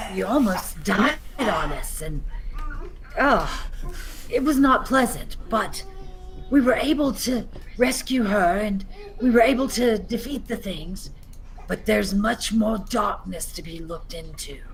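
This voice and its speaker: With clear background noise behind it, a female-sounding put-on character voice, fairly high in pitch, moves at a fairly slow pace with long, frequent pauses. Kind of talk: fantasy roleplay speech. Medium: actual play. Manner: measured, slightly theatrical.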